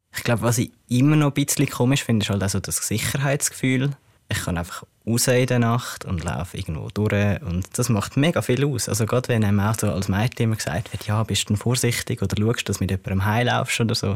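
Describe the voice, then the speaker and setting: A man's speech races at a very fast pace with ordinary pitch variation. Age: 20s. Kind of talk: interview.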